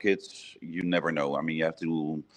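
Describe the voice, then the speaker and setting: A man's voice with a Dutch accent. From Netherlands. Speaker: brewery owner and head brewer. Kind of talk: interview.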